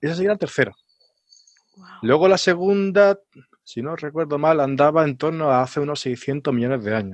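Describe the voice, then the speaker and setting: Speaking at a moderate pace, a man with a fairly high pitch uses lively intonation and big swings in loudness. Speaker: geologist and science communicator. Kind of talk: casual science chat. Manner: halting, many fillers.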